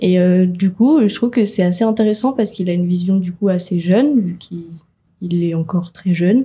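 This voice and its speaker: A dark, mellow, somewhat breathy voice at a fairly quick pace, with ordinary pitch variation. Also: woman, medium pitch for a woman. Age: young. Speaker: graphic design student, first-time voter. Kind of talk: radio interview. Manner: casual, hesitant with fillers.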